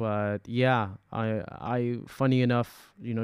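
Fairly slow and monotone, a man's flat delivery comes across on a very clean recording with a silent background. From UAE. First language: Arabic. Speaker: experimental hip-hop artist. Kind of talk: casual interview.

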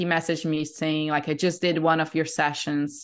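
Against a quiet background, a woman with a Portuguese accent speaks in a very deep, low voice with monotone, flat intonation. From Brazil. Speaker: breathwork facilitator. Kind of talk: casual interview.

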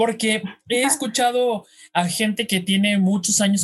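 The intonation is fairly even throughout. A man delivers it at a fairly slow pace. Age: young. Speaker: radio host. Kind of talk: casual interview chat.

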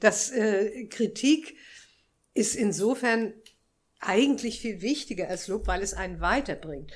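Speaking very slowly with long, frequent pauses, a woman with a fairly high pitch shows vocal fry and ordinary pitch variation. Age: 80s+. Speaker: visual artist. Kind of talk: live interview. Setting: café with live audience. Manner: halting.

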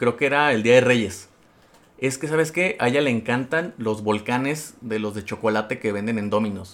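A man with a Mexican accent, medium in pitch, at a moderate pace with ordinary pitch variation. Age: 20s. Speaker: podcast host, accountant. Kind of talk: casual chat.

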